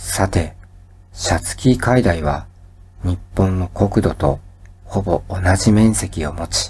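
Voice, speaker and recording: Very slowly and somewhat breathily, a man speaks with a very deep, low pitch and ordinary pitch variation. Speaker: educational YouTuber. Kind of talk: sleep-inducing educational lecture. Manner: calm, soft-spoken.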